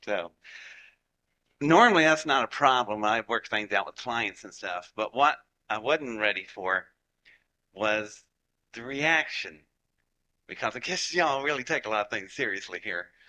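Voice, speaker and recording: Speaking at a moderate pace in a Southern US accent, a man with a medium-pitched voice and a bright, sharp tone uses lively intonation and big swings in loudness, leaving long, frequent pauses against a quiet background. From Appalachia, West Virginia / Georgia. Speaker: rocket scientist. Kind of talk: lecture to live audience. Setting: stage with audience. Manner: animated.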